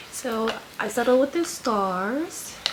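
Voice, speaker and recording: Amid noticeable background noise and audible room echo, a woman is speaking. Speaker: lifestyle vlogger and nurse. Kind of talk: casual vlog haul. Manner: casual, filler-heavy.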